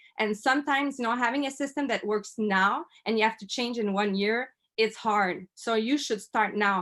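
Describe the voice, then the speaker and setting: Recorded very cleanly against a silent background, a woman with a Quebec accent speaks at a moderate pace in a fairly high pitch with ordinary pitch variation. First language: French. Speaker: network marketer. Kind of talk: interview testimony. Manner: halting.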